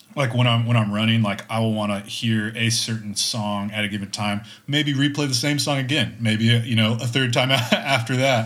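In an American accent, a man talks at a moderate pace with a medium pitch and fairly even intonation, and the room echo is audible. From Texas. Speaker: amateur runner. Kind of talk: casual chat.

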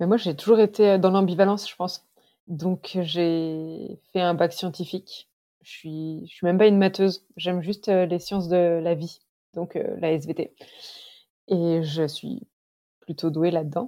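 Dark and mellow in tone, a woman speaks with a fairly low pitch and fairly even intonation at a very slow pace, with long, frequent pauses. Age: 30s. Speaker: long-distance hiker. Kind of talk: interview. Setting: remote call.

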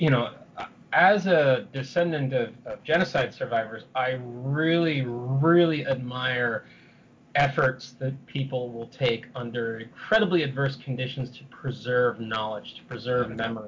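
Somewhat breathy, a man with an American accent talks at a fairly slow pace and medium pitch, with ordinary pitch variation. His loudness swings widely. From San Francisco, US. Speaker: historian and novelist. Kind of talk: interview. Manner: halting, many repetitions.

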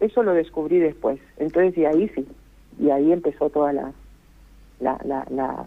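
The speaker keeps a moderate pace with ordinary pitch variation. Long pauses come often. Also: woman, very deep, low pitch for a woman. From Costa Rica. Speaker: singer. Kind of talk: interview.

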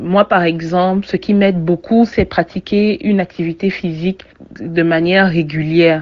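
Speech comes at a fairly slow pace, and the intonation stays fairly even. Overall, it is a plain, everyday voice. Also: woman, fairly low pitch for a woman, very even loudness. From Cameroon. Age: 30s. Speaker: communications consultant, former journalist. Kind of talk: personal testimony.

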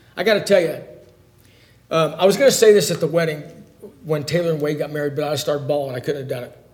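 A man speaks very fast at a fairly high pitch, with ordinary pitch variation and big swings in loudness. Long, frequent pauses break up his speech, and the room echo is audible. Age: 50s. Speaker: Bible class teacher. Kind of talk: Bible lesson.

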